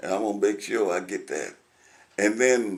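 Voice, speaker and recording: With a Tennessee accent, this man talks at a fairly slow pace. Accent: Southern US, Tennessee. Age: 90s. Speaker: oral history interviewee. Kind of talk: oral history interview. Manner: halting, repetitive.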